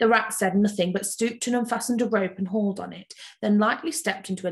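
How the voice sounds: What we hear is a natural reading voice.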